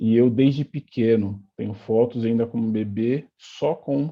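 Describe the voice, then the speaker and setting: A man speaks in an ordinary speaking voice at medium pitch. His intonation is fairly even. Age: 30s. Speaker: football coach and former player. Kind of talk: interview.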